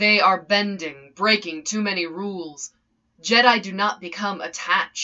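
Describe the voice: The voice is plain reading aloud with fairly even intonation. The background is quiet.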